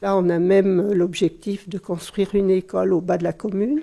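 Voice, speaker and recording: A woman with a medium-pitched voice and a dark, mellow tone speaks at a fairly slow pace with ordinary pitch variation. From France, Savoie. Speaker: village mayor. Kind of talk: interview.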